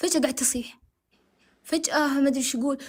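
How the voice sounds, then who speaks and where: A high-pitched woman's voice, fairly quick in pace, with fairly even intonation. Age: 20s. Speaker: caller. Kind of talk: testimony.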